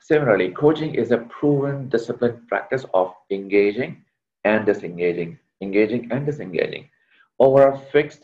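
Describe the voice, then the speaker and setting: Here a man talks at a moderate pace. He has an unremarkable speaking voice. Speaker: leadership coach, workshop trainer. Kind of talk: online workshop lecture. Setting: video call.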